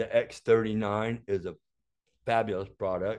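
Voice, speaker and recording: Against a quiet background, a man with an American accent speaks at a fairly low pitch. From Florida. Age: 60s. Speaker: health device inventor; interview guest. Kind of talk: interview. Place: office. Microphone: camera far.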